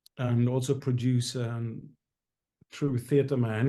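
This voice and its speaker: A very slow, monotone, flat delivery in a Norwegian accent, with a dark, mellow tone and audible room echo. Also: man. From Norway. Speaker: musical theatre actor and singer. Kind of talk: interview. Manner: halting, many fillers.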